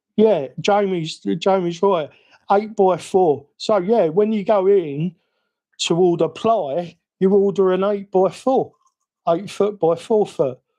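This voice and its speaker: With a British accent, a man speaks at a very slow pace in a high pitch with a dark, mellow tone. His loudness is very even, and his pitch variation is ordinary. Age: 50s. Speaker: RC hobby streamer. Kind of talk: live stream chat. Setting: home live stream. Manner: rambling; animated.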